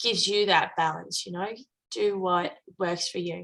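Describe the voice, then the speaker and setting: Speaking with an Australian accent, a woman uses a medium pitch and a bright, sharp tone, keeping her intonation fairly even at a fairly slow pace. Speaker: coach. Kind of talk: casual interview conversation.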